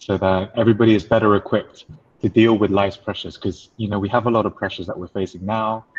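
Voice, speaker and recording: Talking very fast in an English accent, a man uses a fairly low pitch and monotone, flat intonation. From England. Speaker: life coach. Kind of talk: webinar talk.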